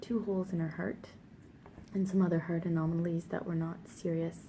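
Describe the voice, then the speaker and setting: A woman speaks at a fairly low pitch with a dark, mellow tone. Her voice is somewhat breathy, with fairly even intonation. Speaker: parent vlogger. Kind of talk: personal testimony. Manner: halting.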